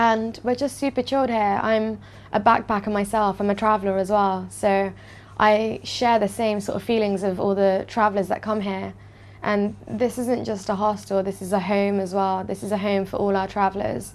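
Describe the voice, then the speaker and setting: Her intonation fairly even, a woman speaks in a British accent. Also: medium pitch for a woman, moderate pace. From London, England. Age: 20s. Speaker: hostel owner. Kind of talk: interview.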